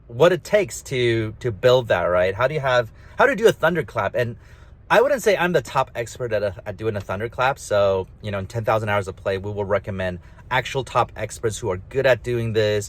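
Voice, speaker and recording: A man mumbles at a moderate pace with lively intonation and a somewhat breathy voice. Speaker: author and gamification speaker. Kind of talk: casual monologue. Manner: mumbly; halting, many restarts.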